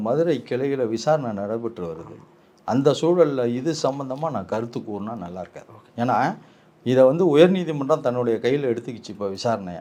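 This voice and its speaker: A man with an unremarkable speaking voice, medium pitch, lively intonation and big swings in loudness. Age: 50s. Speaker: lawyer and political commentator. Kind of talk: political interview. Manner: assertive.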